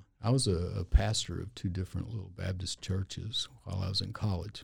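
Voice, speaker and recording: A man with a very deep, low pitch speaks in a somewhat breathy voice, with fairly even intonation. He hardly pauses, and his loudness swings widely. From Louisiana, then New Mexico from age twelve. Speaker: injury lawyer, former police officer and preacher. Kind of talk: casual interview chat.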